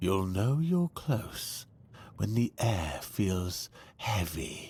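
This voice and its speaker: A man uses a put-on character voice at a fairly low pitch. He speaks at a very slow pace. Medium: video game. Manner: calm, explanatory.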